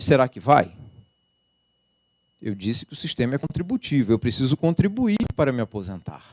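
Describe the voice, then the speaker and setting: A man speaks at a moderate pace with a medium pitch, his pitch swinging very widely and his loudness rising and falling sharply. Long pauses come often, and the sound is dry and close with no echo. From Rio de Janeiro, Brazil. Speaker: labour judge and law professor. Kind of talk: lecture. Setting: lecture hall with audience.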